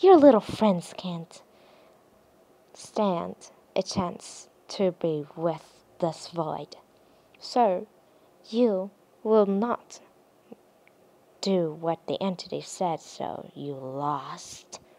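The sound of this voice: A woman in a put-on character voice talks at a very slow pace with long, frequent pauses, using a fairly low pitch, a dark, mellow tone, and lively intonation.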